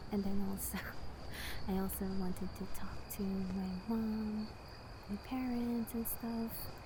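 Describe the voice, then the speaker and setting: A woman speaking at a very slow pace with long, frequent pauses, against noticeable background noise. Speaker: VTuber ASMR creator. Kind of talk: casual venting about life. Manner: hesitant, rambling.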